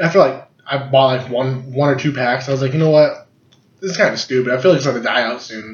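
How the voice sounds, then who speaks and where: Through audible room echo, a man with a fairly high pitch and somewhat breathy voice talks at a fairly quick pace. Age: 20s. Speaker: podcast co-host. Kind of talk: casual chat. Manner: animated.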